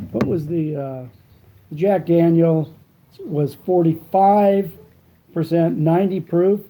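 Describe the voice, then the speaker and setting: A man's high-pitched voice with a dark, mellow tone. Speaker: cigar reviewer. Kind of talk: product review vlog. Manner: mumbling with cigar in mouth; casual, halting with fillers.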